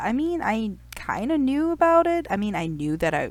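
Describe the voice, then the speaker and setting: In a very clean recording with a silent background, a woman's voice moves through very wide pitch swings. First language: not English. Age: 30s. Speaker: youtuber. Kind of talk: personal vlog storytelling. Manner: casual, conversational.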